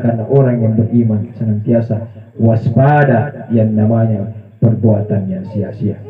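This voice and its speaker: In a Makassar accent, a man speaks at a medium pitch and a moderate pace, with audible room echo and noticeable background noise. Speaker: Islamic preacher. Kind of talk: funeral condolence sermon.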